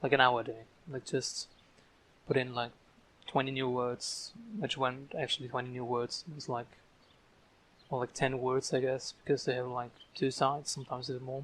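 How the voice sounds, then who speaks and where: A man with a non-native accent speaks in a monotone, flat medium-pitched voice at a fairly quick pace, broken by long, frequent pauses. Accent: non-native English, audible. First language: German. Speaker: language learner vlogger. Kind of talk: casual vlog monologue. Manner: slurred words; halting, many fillers and repeats. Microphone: poor audio quality.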